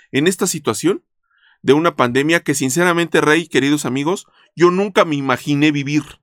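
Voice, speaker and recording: Someone speaks with a Mexican accent at a moderate pace. The recording is very clean and dry, close with no echo, with a silent background. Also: man. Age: 50s. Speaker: insurance podcast host. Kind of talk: casual interview.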